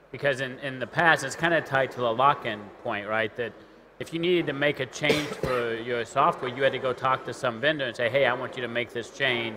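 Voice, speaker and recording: A man at a fairly quick pace, fairly even intonation, over noticeable background noise. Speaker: tech company CTO. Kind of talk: panel discussion. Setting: conference stage with live audience. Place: stage.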